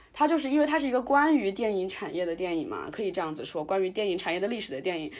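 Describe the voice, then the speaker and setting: A woman's ordinary speaking voice, medium in pitch. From Wuhan, China. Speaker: podcast host. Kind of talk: casual chat.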